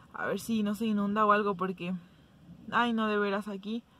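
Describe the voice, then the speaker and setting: A woman speaks at a fairly quick pace. The sound is dry with no echo, over light background noise. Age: 20s. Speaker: vlogger. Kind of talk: casual talk to camera. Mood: mildly impatient, chatty. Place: car. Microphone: phone near.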